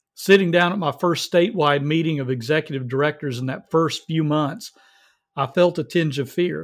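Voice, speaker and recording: Speaking with an American accent, a man uses an unremarkable speaking voice at a fairly high pitch, with ordinary pitch variation and a moderate pace. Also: very clean recording, silent background. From US South. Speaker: pregnancy center fundraising specialist. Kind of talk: reading aloud; interview.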